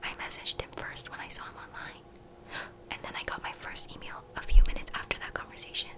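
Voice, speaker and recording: A woman whispering at a moderate pace over noticeable background noise. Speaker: ASMR YouTuber. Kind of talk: first-person horror story narration, read in a whisper. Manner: whispered.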